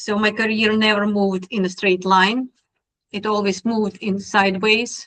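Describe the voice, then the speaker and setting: A woman's medium-pitched, monotone voice with flat intonation and a strong Russian accent. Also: moderate pace. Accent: heavy Russian. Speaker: technology speaker. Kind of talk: presentation talk.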